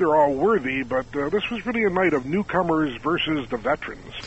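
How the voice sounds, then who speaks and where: Using a plain, everyday voice, a man talks at a moderate pace with fairly high pitch and lively intonation. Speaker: magazine editor. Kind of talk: radio interview.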